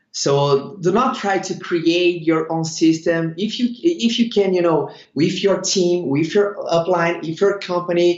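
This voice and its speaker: A high-pitched man with a Brazilian accent, ordinary pitch variation and hardly any pauses. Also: fairly slow pace. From Brazil, Sao Paulo. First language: Portuguese. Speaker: network marketing leader. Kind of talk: interview. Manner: halting, many fillers.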